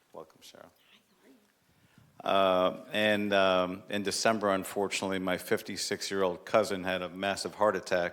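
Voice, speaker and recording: In monotone, flat intonation, a man speaks at a very deep, low pitch. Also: big swings in loudness. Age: 60s. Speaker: city commission member presenting proclamation. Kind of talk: public meeting remarks. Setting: city commission chamber.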